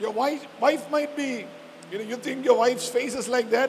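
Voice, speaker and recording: A man with a Keralan accent and an extremely high pitch speaks over noticeable background noise. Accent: Indian (Malayali) English. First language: Malayalam. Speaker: pastor. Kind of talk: sermon. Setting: church service.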